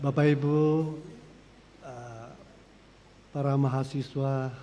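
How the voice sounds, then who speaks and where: The man's pitch is fairly high, with fairly even intonation. Audible room echo colors the recording. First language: not Indonesian; Malay or other (speaking Indonesian). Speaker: priest and exorcist. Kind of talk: lecture. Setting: lecture hall with Zoom audience. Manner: halting with fillers.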